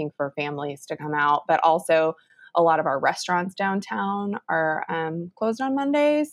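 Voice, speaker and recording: A woman speaks in an ordinary speaking voice with an American accent, fairly low in pitch, at a moderate pace with lively intonation, the sound dry and close with no echo. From Texas, Round Rock near Austin. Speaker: city communications and marketing specialist. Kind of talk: casual chat.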